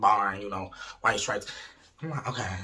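A man at a fairly quick pace with lively intonation. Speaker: storyteller vlogger. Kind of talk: casual vlog chat. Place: home room. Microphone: phone near.

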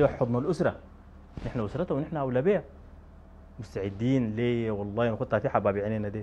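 A man talking at a fairly quick pace with ordinary pitch variation. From Sudan. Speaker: brother of a convicted woman; interviewee. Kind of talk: interview. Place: home room. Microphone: lapel.

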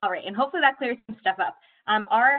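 A woman talks in an upbeat tone. The background is quiet. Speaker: admissions administrator; university admissions staff host. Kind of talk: webinar hosting. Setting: video call. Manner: upbeat, friendly. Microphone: video call.

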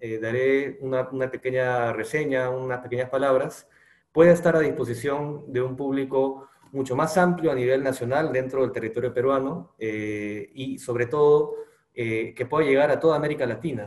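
The background stays quiet. A man's fairly even intonation comes through at a moderate pace. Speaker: presenter. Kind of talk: formal presentation speech. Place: home room. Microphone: webcam.

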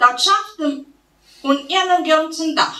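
The voice has a Transylvanian accent. Room echo can be heard. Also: woman. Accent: Transylvanian Saxon dialect. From Transylvania, Romania. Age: 40s. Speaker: poet, storyteller. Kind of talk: dialect poetry reading. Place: hall. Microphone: podium.

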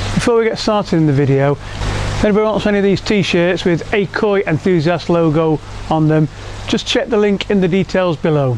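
Noticeable background noise sits behind a man who talks at a fairly quick pace in a high voice, with ordinary pitch variation and very even loudness. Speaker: koi keeper and YouTuber. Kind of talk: tutorial video blog. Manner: casual, halting.

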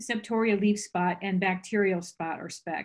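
Against a quiet background, a somewhat breathy woman speaks at a moderate pace with ordinary pitch variation. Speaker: presenter. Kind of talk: lecture. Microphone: video call.

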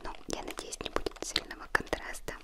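Whispering in a soft-spoken, gentle tone, the speaker goes at a fairly slow pace. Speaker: unboxing vlogger. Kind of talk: casual vlog chat. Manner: gentle soft ASMR whisper. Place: home room.

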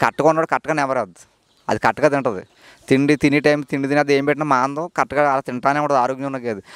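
A man speaks in a dry recording with no echo. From East Godavari district, Andhra Pradesh, India; Andhra Pradesh, India. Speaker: dairy farmer. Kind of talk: casual interview. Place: farm machine. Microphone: handheld.

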